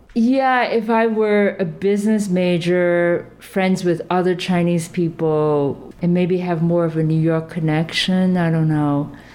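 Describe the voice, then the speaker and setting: A woman's fairly low voice at a fairly slow pace, with ordinary pitch variation, very even loudness and hardly any pauses, over noticeable background noise. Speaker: sculptor and artist. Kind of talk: casual interview chat.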